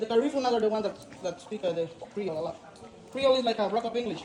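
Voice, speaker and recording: Words rush out at a very fast pace through noticeable background noise. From Honduras, San Pedro Sula. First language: Spanish. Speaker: tour guide. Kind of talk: guided tour talk.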